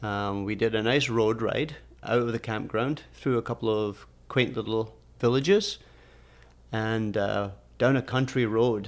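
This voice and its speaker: A man with a Scottish accent talks at a fairly slow pace, his pitch medium and his intonation fairly even. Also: very clean recording, silent background. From Scotland. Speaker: podcast co-host, engineer. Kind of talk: casual chat.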